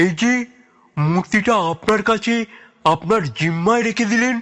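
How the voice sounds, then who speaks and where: A man puts on a character voice, pitched high for a man, speaking at a moderate pace with ordinary pitch variation. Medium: audio drama. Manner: chatty, old-fashioned courtesy.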